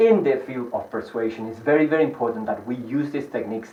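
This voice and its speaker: There is noticeable background noise and audible room echo. A man speaks with a Spanish accent. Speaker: hypnotist and sales trainer. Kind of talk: lecture. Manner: fast.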